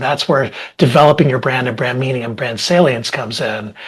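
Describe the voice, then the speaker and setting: A man's voice comes out somewhat breathy as he talks at a fairly quick pace. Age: 60s. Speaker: marketing executive. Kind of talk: podcast panel discussion.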